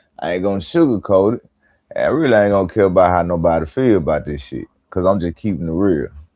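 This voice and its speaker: A man talks at a very fast pace with a very deep, low pitch. His intonation is lively. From Mississippi. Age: 30s. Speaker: hip-hop news commentator. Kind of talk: live stream commentary. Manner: animated.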